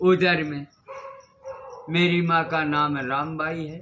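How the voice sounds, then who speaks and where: A man's fairly high voice comes through with noticeable background noise around it. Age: 80s+. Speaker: wandering ascetic. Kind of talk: interview.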